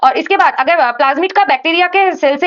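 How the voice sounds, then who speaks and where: A woman speaks at an extremely high pitch. Her intonation is lively and her pace fairly quick. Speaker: medical student teaching microbiology. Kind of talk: lecture. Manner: hesitant, with fillers.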